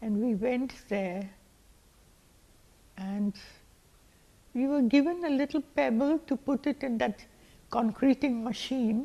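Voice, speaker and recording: With a dark, mellow tone, a woman speaks at a high pitch and a very slow pace, her pitch varying in an ordinary way, with long, frequent pauses. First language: not English. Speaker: community elder. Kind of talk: oral history. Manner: halting.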